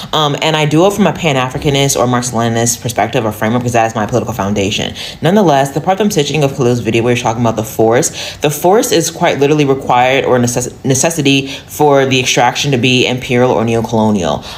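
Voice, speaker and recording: Very fast speech with hardly any pauses over noticeable background noise. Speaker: political commentator. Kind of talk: opinion monologue.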